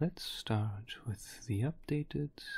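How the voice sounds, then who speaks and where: Whispering at a very slow pace. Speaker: crypto market analyst. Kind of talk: ASMR crypto statistics explainer. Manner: whispered.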